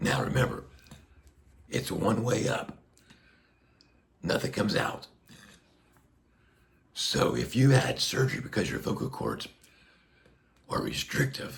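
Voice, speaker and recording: Noticeable background noise sits behind a man's fairly slow speech. His medium-pitched voice makes very wide pitch swings. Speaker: neck cancer patient with tracheotomy. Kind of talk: casual talk to camera. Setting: speaking through a tracheostomy speaking valve.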